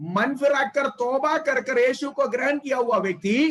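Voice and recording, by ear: Male voice of extremely high pitch with a fairly bright tone, ordinary pitch variation and a moderate pace.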